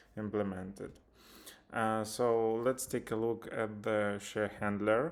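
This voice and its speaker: Speaking at a very slow pace, a man with a Ukrainian accent talks at a medium pitch. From Ukraine. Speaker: software developer. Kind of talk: tutorial. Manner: halting, many filler sounds.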